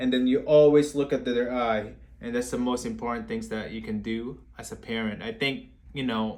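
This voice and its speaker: A man at a moderate pace, monotone and flat in intonation, with audible room echo. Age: 20s. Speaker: therapist giving parenting advice. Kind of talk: live-stream Q&A talk. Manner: halting, with repeated words.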